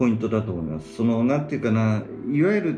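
A man talks with very wide pitch swings. Room echo and noticeable background noise can be heard. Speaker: business planner. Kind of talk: casual chat.

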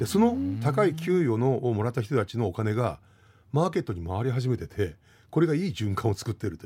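At a fairly quick pace, a man with a medium pitch and a dark, mellow, somewhat breathy tone speaks with very wide pitch swings and big swings in loudness, on a very clean recording with a silent background. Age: 50s. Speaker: history lecturer and radio news commentator. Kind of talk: explanatory news commentary on radio. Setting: radio studio. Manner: conversational with many fillers.

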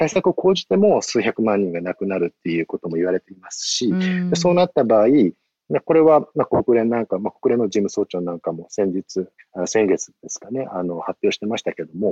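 A man's dark, mellow voice at medium pitch, fairly quick, with very wide pitch swings and big swings in loudness, dry and close with no echo. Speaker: NPO aid worker. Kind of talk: interview. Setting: phone call, outdoors.

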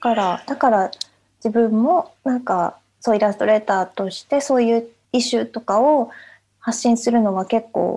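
A woman's fairly high voice carries a dark, mellow tone and ordinary pitch variation. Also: moderate pace, big swings in loudness. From Japan. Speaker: illustrator. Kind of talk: casual chat.

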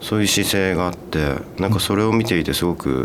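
A man's very deep, low voice at a fairly quick pace, with noticeable background noise and audible room echo. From Hokkaido, Japan (Date city). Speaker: film director. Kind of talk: radio interview.

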